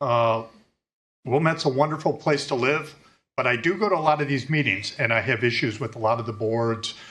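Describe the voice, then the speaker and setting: With a plain, everyday voice, this man moves at a fairly quick clip, his pitch medium and varying in an ordinary way. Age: 60s. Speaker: resident speaking at public comment. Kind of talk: public comment at a board meeting. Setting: public meeting room. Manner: casual, joking.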